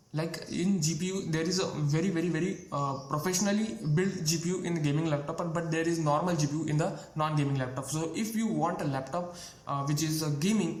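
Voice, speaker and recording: Amid noticeable background noise and audible room echo, a man speaks at a fairly quick pace and fairly high pitch, with very even loudness, fairly even intonation and hardly any pauses. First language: not English. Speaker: tech youtuber. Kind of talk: tutorial. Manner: halting, many fillers and repeats.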